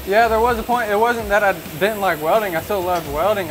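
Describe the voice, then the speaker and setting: A man at a fairly quick pace with ordinary pitch variation, over noticeable background noise. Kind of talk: interview answer. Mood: earnest, grateful. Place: workshop. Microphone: lapel.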